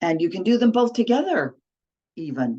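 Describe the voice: Her tone is dark and mellow. The woman talks at a moderate pace, moving her medium pitch in big swings.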